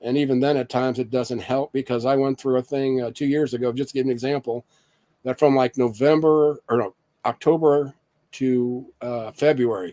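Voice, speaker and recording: With a Midwestern US accent, a man speaks at a medium pitch in a dark, mellow tone. The pace is moderate, and the sound is dry and close with no echo. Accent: rural Midwestern American. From Indiana, US Midwest. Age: 50s. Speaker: patient sharing illness experience. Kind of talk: casual monologue. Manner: halting.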